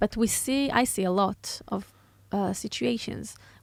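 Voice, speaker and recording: Lively intonation comes across in a very clean recording where the background is silent. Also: woman. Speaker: podcast host. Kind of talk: interview question.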